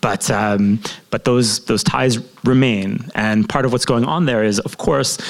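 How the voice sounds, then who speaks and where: Noticeable background noise sits under fairly slow speech. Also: man. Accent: Canadian. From Canada, Toronto. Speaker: journalist and author. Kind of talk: live interview on stage.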